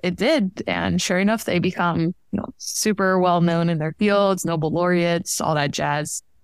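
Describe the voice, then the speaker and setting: In a plain, everyday voice, a woman with a fairly low pitch speaks at a fairly slow pace, with fairly even intonation and very even loudness. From Miami, Florida (Cuban-American family). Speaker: engineering PhD student. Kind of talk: interview.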